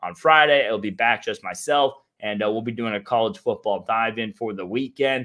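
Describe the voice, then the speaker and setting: Fairly quick speech from a man, medium in pitch, with ordinary pitch variation. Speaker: sports betting analyst. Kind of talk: sports betting preview show. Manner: fast.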